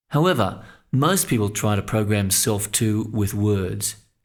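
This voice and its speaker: Here is an unremarkable speaking voice from a man with a medium pitch. He talks at a moderate pace with ordinary pitch variation. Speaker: mental coach and sports psychology narrator. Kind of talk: instructional audio coaching narration.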